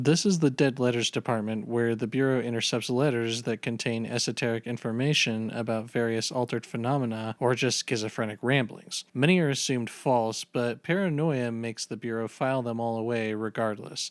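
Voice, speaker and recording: A man talks at a fairly quick pace with hardly any pauses and fairly even intonation. He has a plain, everyday voice. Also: medium pitch for a man. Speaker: video essayist. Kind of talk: video game lore narration.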